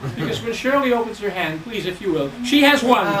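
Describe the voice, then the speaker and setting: Over music and audible room echo, a man with a New York accent talks very fast in an extremely high pitch with lively intonation. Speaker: stage magician. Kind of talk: stand-up magic act. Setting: stage with audience.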